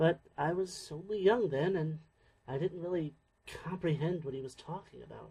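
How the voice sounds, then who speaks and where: A soft-spoken man talks at a moderate pace with a high pitch and a dark, mellow tone. His pitch variation is ordinary, while his loudness swings widely. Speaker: voice actor playing a friend character in a sci-fi audio drama. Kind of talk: audio drama dialogue.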